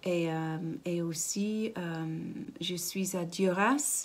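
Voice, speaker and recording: This woman's voice sits at a fairly low pitch. Her pitch varies in an ordinary way. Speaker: ceramicist. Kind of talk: interview. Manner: halting. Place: workshop. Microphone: phone near.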